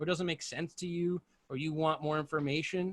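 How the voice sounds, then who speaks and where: Fairly high in pitch, a man speaks with an American accent. His pace is fairly quick, and the background is quiet. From United States. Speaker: live sound engineer; guest. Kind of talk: casual panel discussion. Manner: fast. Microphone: video call.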